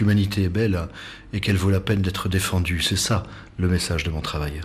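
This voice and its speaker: A man talks at a fairly quick pace and fairly low pitch. His voice is somewhat breathy, with ordinary pitch variation. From French Alps. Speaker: travel photographer. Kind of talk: interview.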